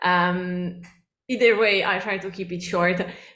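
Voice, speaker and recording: The woman talks fairly slowly, and room echo can be heard. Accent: Italian. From Italy. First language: Italian. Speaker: cookbook author. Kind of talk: lecture. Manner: many fillers (um, uh).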